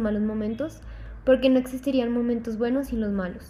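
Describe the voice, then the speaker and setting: At a fairly quick pace, a woman talks in a fairly high voice with a dark, mellow tone and monotone, flat intonation. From Mexico (Mérida, Yucatán) then Colombia from about age 10. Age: 20s. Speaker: university student. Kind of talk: personal testimony interview.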